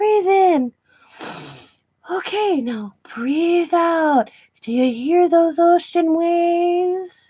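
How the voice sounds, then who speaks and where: Using a put-on character voice, a woman speaks very slowly at an extremely high pitch, with lively intonation and long, frequent pauses. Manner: calm, soothing.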